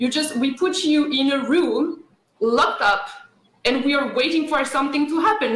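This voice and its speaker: A woman with a French accent, high in pitch, at a moderate pace, with audible room echo. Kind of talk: radio interview.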